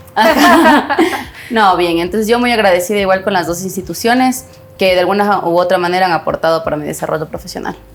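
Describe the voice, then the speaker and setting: Against noticeable background noise, a woman talks at a very fast pace with lively intonation and a medium pitch. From Ecuador, Ibarra. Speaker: economist, personal finance expert. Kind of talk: podcast interview.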